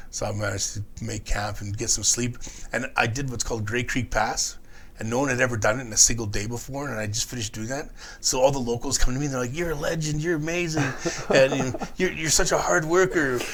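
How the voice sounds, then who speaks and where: The speaker has a Canadian accent and a very fast pace. Pitch varies an ordinary amount. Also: man, medium pitch for a man. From Prince George, British Columbia. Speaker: long-distance hiker. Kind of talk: podcast interview answer.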